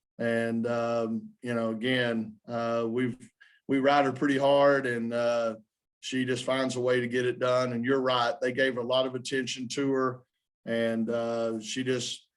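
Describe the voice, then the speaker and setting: A man speaks in a Southern US accent with medium pitch and flat, monotone intonation. His pace is fairly slow, and the recording is very clean with a silent background. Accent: Southern twang. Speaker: basketball coach. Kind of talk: press conference. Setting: postgame press conference.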